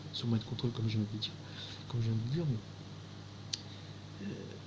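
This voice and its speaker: Fairly even intonation from a man at medium pitch. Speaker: video testimony speaker. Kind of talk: monologue testimony. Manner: slow, halting with many fillers.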